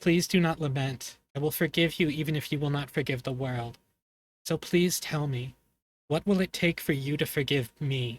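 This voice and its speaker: A man puts on a character voice with a fairly high pitch. His pace is moderate and his intonation fairly even. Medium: read story.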